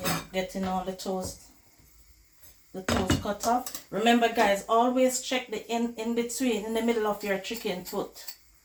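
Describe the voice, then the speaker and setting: Against noticeable background noise, someone talks at a fairly slow pace. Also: woman, fairly high pitch for a woman, fairly even intonation. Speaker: cooking vlogger. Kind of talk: cooking tutorial, casual chat.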